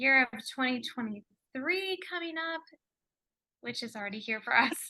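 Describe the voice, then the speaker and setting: A woman projects her voice at a high pitch in a bright, sharp tone. Her intonation is lively. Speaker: energy healer. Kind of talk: casual chat.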